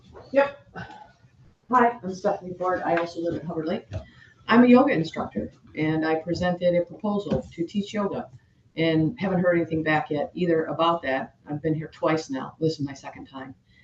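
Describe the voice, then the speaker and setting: A woman speaks at a fairly quick pace with a fairly low pitch and lively intonation. Noticeable background noise runs behind her. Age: 60s. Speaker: yoga instructor. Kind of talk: public comment at board meeting. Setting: public board meeting.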